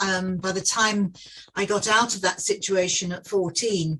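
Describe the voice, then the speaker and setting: A woman speaks in a southern English accent. Her pitch sits in the medium range, with fairly even intonation. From southeast England (Dartford, Kent). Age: 70s. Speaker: facilities management veteran. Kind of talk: podcast interview.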